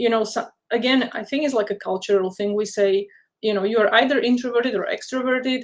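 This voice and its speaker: Her pitch is fairly high for a woman. She moves at a fairly quick pace with fairly even intonation. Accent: non-native. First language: not English. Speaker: career counsellor and software developer. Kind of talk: webinar interview, casual advice.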